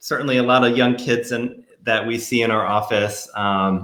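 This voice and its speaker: A man with an American accent speaks at a medium pitch. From New York. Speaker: pediatrician. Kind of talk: casual chat. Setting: livestream video call. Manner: fast.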